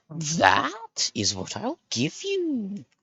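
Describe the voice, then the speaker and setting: Using a put-on character voice, a man speaks at a high pitch. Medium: actual play. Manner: brief, theatrical exclamations.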